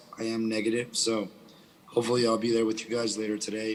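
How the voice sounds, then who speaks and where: There is noticeable background noise. Beneath it, a man speaks with a medium pitch. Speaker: software company co-founder. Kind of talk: panel discussion.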